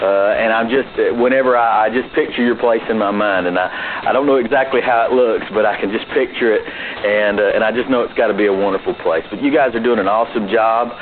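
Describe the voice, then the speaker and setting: With a Southern US accent, a man talks at a very fast pace with hardly any pauses, a medium pitch and fairly even intonation over noticeable background noise. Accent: true Southern. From US South, Georgia. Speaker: podcaster sending an audio message. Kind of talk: recorded voicemail message.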